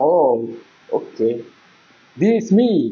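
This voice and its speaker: A man talks with a non-native accent. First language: not Indonesian (speaking Indonesian). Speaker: gaming youtuber. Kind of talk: gameplay commentary. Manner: animated.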